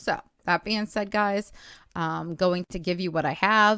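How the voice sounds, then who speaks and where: An ordinary speaking voice from a woman, lively in intonation at a moderate pace, on a very clean recording with a silent background and a dry, close sound with no echo. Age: 40s. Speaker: YouTube channel owner sharing a recording. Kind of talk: casual vlog talk to viewers.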